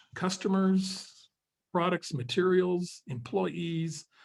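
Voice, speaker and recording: The voice moves at a very slow pace, somewhat breathy and with lively intonation. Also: man. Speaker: webinar host and business advisor. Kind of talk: webinar presentation. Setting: online webinar.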